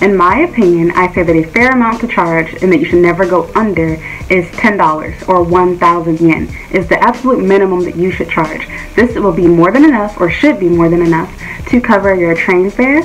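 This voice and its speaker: Faint music plays in the background as a woman talks at a moderate pace. Her pitch varies in an ordinary way. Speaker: private English teacher giving advice. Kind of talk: tutorial. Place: home room. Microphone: phone near.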